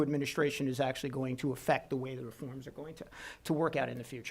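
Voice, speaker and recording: This is a man speaking. He talks in a Brooklyn accent. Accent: Brooklyn New York. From US Northeast, Brooklyn New York. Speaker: economist panelist. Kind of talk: conference presentation. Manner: fast.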